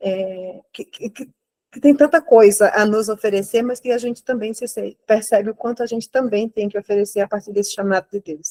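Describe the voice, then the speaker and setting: A woman with a Brazilian accent talks at a moderate pace with a fairly high pitch and ordinary pitch variation. Her loudness swings widely, and the sound is dry and close, with no echo. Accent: non-local Brazilian accent, noticeable. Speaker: lay church participant. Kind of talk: spontaneous reflection in online course. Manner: halting, many repetitions.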